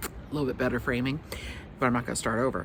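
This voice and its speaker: A woman is speaking. Her voice has vocal fry. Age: old. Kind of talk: casual product review. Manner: halting.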